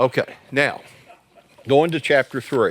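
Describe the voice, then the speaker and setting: A man's voice at a fairly high pitch. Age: 60s. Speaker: church growth trainer for pastors. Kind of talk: workshop presentation. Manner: conversational, joking.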